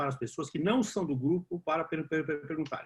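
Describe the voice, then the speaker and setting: A man talks at a very fast pace with a fairly high pitch. His voice is somewhat breathy, with ordinary pitch variation. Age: 60s. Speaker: discussion group moderator. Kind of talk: online panel Q&A.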